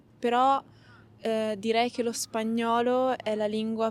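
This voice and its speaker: A woman speaks in an Italian accent at a fairly high pitch. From Italy. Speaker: polyglot interviewee. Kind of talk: interview. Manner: halting with fillers.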